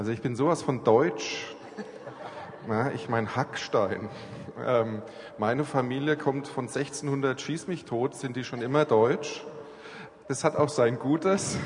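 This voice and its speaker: Noticeable background noise surrounds a man speaking at a very slow pace with long, frequent pauses. His pitch is medium, with ordinary variation. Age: 40s. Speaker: church planter and aid worker. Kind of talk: church talk interview.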